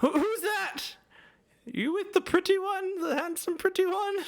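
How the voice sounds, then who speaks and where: At a moderate pace, the speaker uses a put-on character voice pitched extremely high. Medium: actual play.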